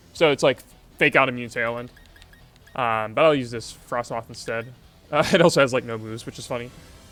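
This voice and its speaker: A man at medium pitch with ordinary pitch variation, a fairly quick pace, long, frequent pauses and big swings in loudness, with music in the background. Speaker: pokemon mechanics streamer. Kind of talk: casual live stream tutorial. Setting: live stream. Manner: quiet; hesitant, many fillers.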